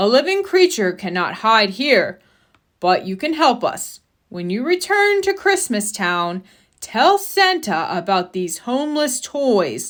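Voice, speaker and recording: A woman speaks in a put-on character voice, high-pitched and fairly slow, with very wide pitch swings over a very clean recording and a silent background. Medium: read story.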